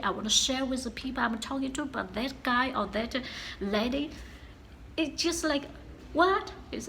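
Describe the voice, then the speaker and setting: With audible room echo, a woman speaks at a high pitch and a moderate pace. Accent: strong Chinese. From China. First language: Chinese. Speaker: vlogger. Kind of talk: casual vlog talk. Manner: halting, many fillers.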